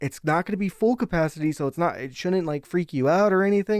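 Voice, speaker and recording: A very fast-paced man with a high pitch and an American accent, in a very clean recording with a silent background and a dry, close sound with no echo. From Nevada, US. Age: 20s. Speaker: sports arena production worker. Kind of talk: casual chat.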